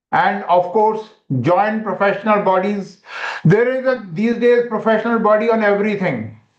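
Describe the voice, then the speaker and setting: A man speaks at a high pitch with fairly even intonation. Audible room echo surrounds his voice. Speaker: medical educator. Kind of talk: webinar lecture.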